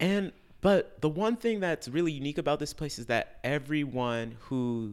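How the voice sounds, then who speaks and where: A man with an American accent and fairly high pitch, at a fairly slow pace with hardly any pauses and very wide pitch swings. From US Midwest, Chicago. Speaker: classical vocalist. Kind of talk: interview. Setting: studio.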